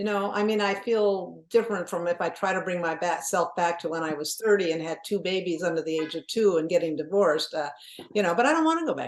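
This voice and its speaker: Very fast speech from a woman at a fairly low pitch, with ordinary pitch variation over noticeable background noise. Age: 70s. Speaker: author. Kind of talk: podcast interview. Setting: podcast. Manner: animated.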